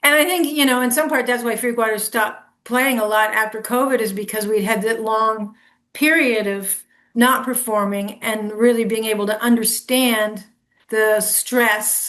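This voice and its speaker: An unremarkable speaking voice talks at a moderate pace with fairly even intonation. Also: woman, fairly high pitch for a woman. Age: 60s. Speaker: musician. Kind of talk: casual chat.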